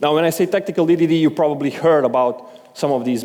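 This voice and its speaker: A man speaks with a non-native accent. His pace is fairly quick. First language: not English. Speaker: conference speaker. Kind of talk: conference talk. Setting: stage with audience.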